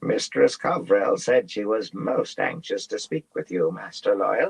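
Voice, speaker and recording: In a creaky, put-on character voice, a man speaks at a moderate pace. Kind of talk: formal, servant-like address.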